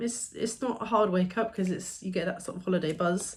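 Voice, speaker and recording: Speech comes at a moderate pace. The tone is somewhat breathy and shows ordinary pitch variation. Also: woman. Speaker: vlogger. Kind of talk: casual chat.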